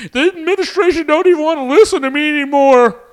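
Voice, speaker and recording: A put-on character voice. It races along at a very fast pace. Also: man, extremely high pitch for a man. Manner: complaining, griping.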